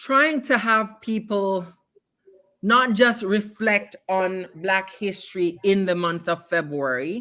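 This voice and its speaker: A woman speaks with a Jamaican Canadian accent in a bright, sharp tone. Her pace is very slow and her intonation lively. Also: medium pitch for a woman. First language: Jamaican Patois. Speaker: poet and arts educator. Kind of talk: interview. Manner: animated.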